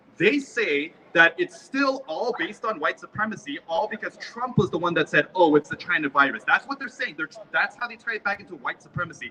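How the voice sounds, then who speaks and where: A man in a raised, projected voice and high pitch talks at a fairly quick pace with an animated tone, lively intonation and big swings in loudness. The sound is dry and close with no echo, and noticeable background noise. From South Korea-born, raised in US. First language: Korean. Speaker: rally speaker. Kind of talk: public speech at a rally.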